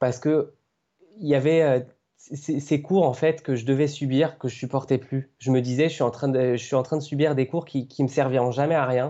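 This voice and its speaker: This man talks at a moderate pace. His intonation stays fairly even. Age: 20s. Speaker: aspiring video game journalist, blogger. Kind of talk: podcast interview. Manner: hesitant, many fillers.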